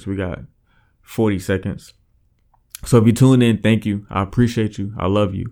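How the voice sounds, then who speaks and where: A man's voice, with typical ups and downs in pitch, is captured in a very clean recording against a silent background. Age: 20s. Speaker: podcast host. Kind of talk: casual monologue. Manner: mumbling; hesitant, many fillers.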